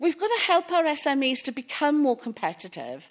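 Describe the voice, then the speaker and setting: Here a woman talks at a fairly quick pace with a Welsh accent. Her pitch is high. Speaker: public procurement specialist. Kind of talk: conference talk.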